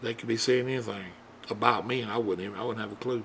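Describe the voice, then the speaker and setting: This is a man's voice. He speaks with a Southern US accent. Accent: southern drawl. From US South. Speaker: YouTuber. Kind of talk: casual monologue. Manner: halting.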